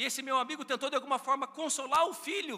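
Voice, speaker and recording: A man talks in a raised, projected voice at an extremely high pitch, very fast and with an animated tone. His pitch variation is ordinary, and there is noticeable background noise. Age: 40s. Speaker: pastor. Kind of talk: sermon.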